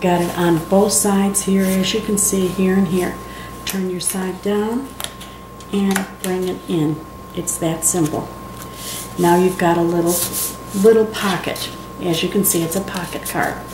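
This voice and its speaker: A woman at a fairly slow pace with long, frequent pauses and monotone, flat intonation, over noticeable background noise. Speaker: card-making demonstrator. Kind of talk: tutorial. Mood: friendly, chatty. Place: home room.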